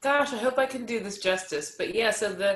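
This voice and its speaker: A woman's voice over noticeable background noise. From US, Pittsburgh. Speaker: singer-songwriter. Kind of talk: podcast interview.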